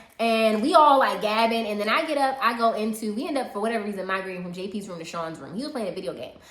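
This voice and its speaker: A woman speaks very fast in an animated tone with lively intonation. Audible room echo and noticeable background noise fill the recording. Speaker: YouTuber co-hosting a storytime live. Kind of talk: casual storytime chat. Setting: livestream. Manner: loud.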